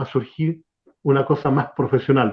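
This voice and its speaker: A man is speaking. He has a Chilean accent. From Chile, Concepción area. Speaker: radio announcer. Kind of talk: interview conversation. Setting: online live stream.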